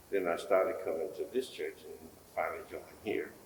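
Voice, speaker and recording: A man with an American accent talks at a moderate pace with audible room echo. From US South, Mississippi. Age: 80s+. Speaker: church member, interviewee. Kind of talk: oral history interview. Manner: halting, many fillers.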